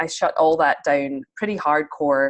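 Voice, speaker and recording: A woman with a Scottish accent talks at a very deep, low pitch. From Scotland. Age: 30s. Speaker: spiritual mentor. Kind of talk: interview.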